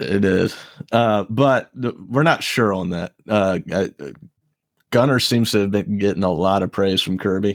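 Speaking at a fairly slow pace with an American accent, a man uses a fairly low pitch and ordinary pitch variation. The recording is very clean, the background silent. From US South, Savannah, Georgia. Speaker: podcast co-host. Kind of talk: casual chat.

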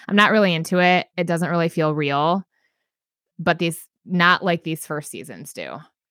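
On a very clean, dry, close recording with a silent background and no echo, a woman with a fairly low pitch speaks at a moderate pace in a bright, sharp, animated tone, her loudness swinging widely. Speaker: podcast host. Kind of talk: casual chat. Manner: animated, talkative.

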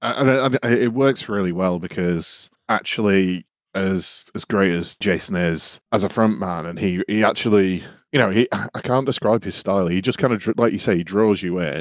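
A man with a British accent, fairly low in pitch with ordinary pitch variation, at a moderate pace against a quiet background. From UK. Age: 30s. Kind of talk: casual chat.

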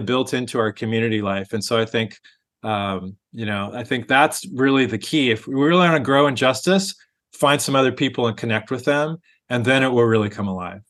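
This man has an unremarkable speaking voice, talking at a moderate pace with a medium pitch and ordinary pitch variation. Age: 50s. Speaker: pastor. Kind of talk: interview.

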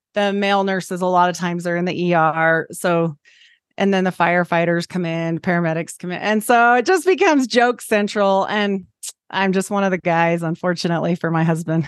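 Against a quiet background, a woman with an unremarkable speaking voice talks at a fairly quick pace in a fairly low pitch with fairly even intonation. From Idaho, US. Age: 40s. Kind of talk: casual interview.

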